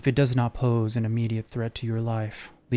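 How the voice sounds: The recording presents a natural reading voice.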